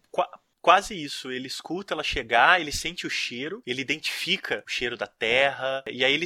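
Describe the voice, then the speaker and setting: A man's fairly high voice at a fairly quick pace, bright and sharp in tone, with ordinary pitch variation, dry and close with no echo, on a very clean recording with a silent background. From Brazil, small inland town. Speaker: podcast host, horror film critic. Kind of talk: casual chat.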